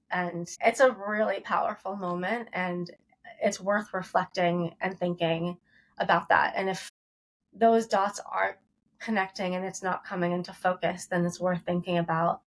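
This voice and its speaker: In an American accent, a woman talks in a plain, everyday voice at a medium pitch with fairly even intonation. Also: moderate pace. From Ohio, US Midwest. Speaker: toy company founder, former magazine editor. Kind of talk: podcast interview. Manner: conversational, some self-corrections.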